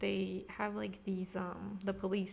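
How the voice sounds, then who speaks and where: A woman with an American accent talks while noticeable background noise carries on around her. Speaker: podcast host. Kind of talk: casual chat. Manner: filler-heavy, hesitant.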